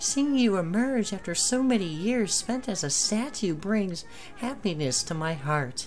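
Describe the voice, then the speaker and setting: Someone performs a put-on character voice at a middle pitch and a moderate pace, with clear background noise. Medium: actual play. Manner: solemn, dramatic.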